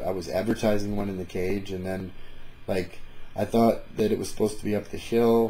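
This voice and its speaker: A man with an American accent talks at a fairly quick pace in a dark, mellow tone. His pitch is fairly low, with ordinary variation. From northern Michigan, US. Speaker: MMA vlogger and event announcer. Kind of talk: casual vlog commentary. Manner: halting, many fillers.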